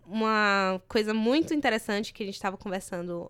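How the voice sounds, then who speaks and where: A woman with an ordinary speaking voice talks at a medium pitch and a moderate pace. Her intonation is fairly even, and the recording is very clean with a silent background. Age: 20s. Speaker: journalism student, activist. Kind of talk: casual chat.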